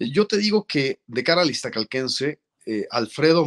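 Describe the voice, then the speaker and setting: A man's lively intonation comes through with a quiet background behind him. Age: 40s. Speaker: journalist and lawyer, political hopeful; journalist, lawyer. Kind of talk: interview. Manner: formal. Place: office. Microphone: webcam.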